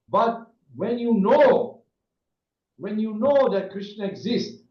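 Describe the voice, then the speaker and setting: Speaking at a very slow pace, a man with a high-pitched voice shows ordinary pitch variation, and room echo is audible. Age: 70s. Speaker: Hare Krishna monk and spiritual teacher. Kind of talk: spiritual talk on video call. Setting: video call. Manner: halting, with many fillers and restarts.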